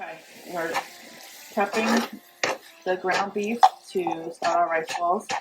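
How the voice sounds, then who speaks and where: Speech with an American accent comes at a very slow pace, broken by long, frequent pauses. Noticeable background noise runs underneath. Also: woman, medium pitch for a woman, fairly even intonation. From New York. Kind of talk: casual cooking vlog talk.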